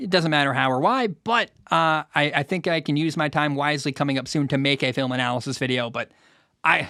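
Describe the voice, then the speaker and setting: Here a man with an American accent speaks in a fairly high pitch. His tone is bright and sharp, and the recording is very clean with a silent background. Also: dry, close sound with no echo. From Washington state, US. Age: 20s. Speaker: sports podcast host. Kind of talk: solo podcast, reading and answering listener mail. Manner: halting, repeats words.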